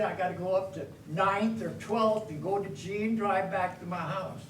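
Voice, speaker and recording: A man with an American accent speaks at a moderate pace and a high pitch. Noticeable background noise and audible room echo fill the recording. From US Pacific Northwest, Washington. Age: 80s+. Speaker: public commenter at city council. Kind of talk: public comment.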